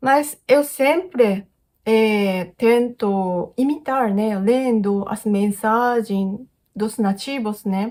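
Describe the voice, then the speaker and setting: Very slowly, a woman with a Japanese accent speaks at a fairly high pitch. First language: Japanese (speaking Portuguese). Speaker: YouTuber. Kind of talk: casual Q&A vlog. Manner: halting, many fillers.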